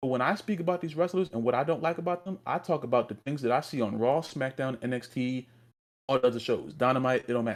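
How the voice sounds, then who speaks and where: At a very fast pace, a man with a medium pitch speaks with ordinary pitch variation. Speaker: wrestling podcast co-host. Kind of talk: heated rant on podcast. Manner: animated, stammering repeats.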